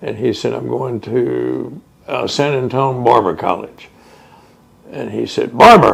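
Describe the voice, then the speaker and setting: Noticeable background noise behind a man at a fairly slow pace. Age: 70s. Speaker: oral history interviewee. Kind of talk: oral history interview. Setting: museum house.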